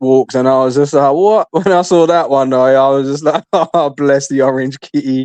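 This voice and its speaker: Speaking with a British accent, a man has a fairly high pitch and a moderate pace. The sound is dry and close, with no echo. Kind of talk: casual chat. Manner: animated.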